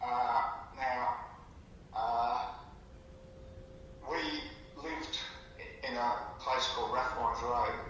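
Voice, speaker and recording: With an Australian accent, a man speaks at a very slow pace and medium pitch, in a monotone, flat intonation with long, frequent pauses. Audible room echo and noticeable background noise fill the recording. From Victoria, Australia. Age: 70s. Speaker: storyteller recalling his life. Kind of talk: casual storytelling chat. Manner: halting, many fillers.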